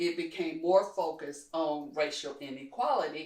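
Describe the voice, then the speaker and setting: In a plain, everyday voice, a woman speaks at a fairly low pitch with ordinary pitch variation. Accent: American. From Kentucky, US South. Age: 60s. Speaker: community leader. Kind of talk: interview conversation.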